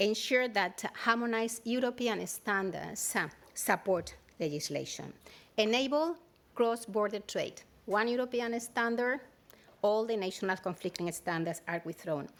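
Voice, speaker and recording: Her pitch is fairly high as this woman speaks at a moderate pace with lively intonation and a Spanish accent. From Spain. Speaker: standards organization director. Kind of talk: keynote speech. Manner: hesitant, many fillers.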